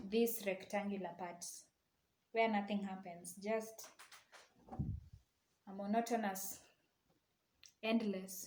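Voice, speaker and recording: A woman speaks very slowly at medium pitch, somewhat breathy and with monotone, flat intonation. Long, frequent pauses and audible room echo run through the clip. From Kenya, Eldoret. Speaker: crochet tutorial maker, university student. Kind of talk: tutorial; casual chat. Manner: casual.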